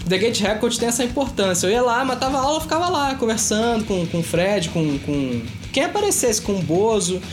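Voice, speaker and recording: Over noticeable background noise and audible room echo, a man speaks with very wide pitch swings. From Itaboraí, Rio de Janeiro state, Brazil. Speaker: music enthusiast guest. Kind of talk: casual chat.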